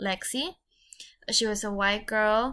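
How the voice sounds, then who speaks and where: A woman with a strong Mexican accent speaks in a fairly high voice, in a very clean recording with a silent background. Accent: thick Mexican Spanish. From Mexico. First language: Spanish. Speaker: podcaster. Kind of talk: podcast monologue. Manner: halting.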